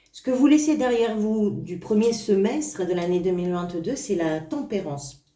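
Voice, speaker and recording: Audible room echo surrounds a woman whose fairly high voice moves at a fairly slow pace with lively intonation. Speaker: tarot reader. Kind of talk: tarot reading video. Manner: stammering slightly; hesitant with fillers.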